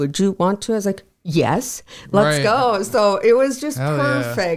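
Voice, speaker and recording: A woman with an Upper Midwest accent at a medium pitch and moderate pace, music in the background. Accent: Upper Midwest American. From South Dakota. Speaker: insurance agent. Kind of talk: podcast interview answer. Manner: casual, chatty.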